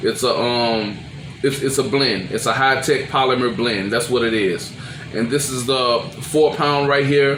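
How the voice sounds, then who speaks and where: Over noticeable background noise, a man speaks at a fairly slow pace. His pitch is medium and his intonation fairly even. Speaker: crappie angler. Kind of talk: casual talk to camera.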